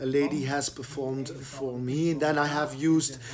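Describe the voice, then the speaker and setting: The speaker has a Flemish accent and fairly even intonation. The pace is fairly slow, with music in the background. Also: man. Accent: Flemish Dutch accent in English. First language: Dutch. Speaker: painter. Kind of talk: explaining his own artwork. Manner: halting, many fillers and repetitions.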